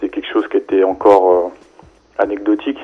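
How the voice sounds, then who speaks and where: A man keeps a moderate pace as noticeable background noise runs underneath. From Paris suburbs, France. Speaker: website founder. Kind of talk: radio interview. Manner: hesitant, conversational.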